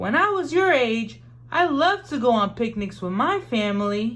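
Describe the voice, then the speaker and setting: A woman puts on a character voice. It has a fairly high pitch and a warm tone. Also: moderate pace. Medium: read story. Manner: warm, encouraging.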